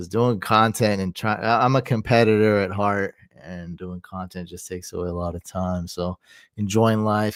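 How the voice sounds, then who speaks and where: Recorded very cleanly against a silent background, with a dry, close sound and no echo, a man speaks at a moderate pace in a fairly low pitch. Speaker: fantasy football streamer. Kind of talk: live stream commentary. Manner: quiet; casual.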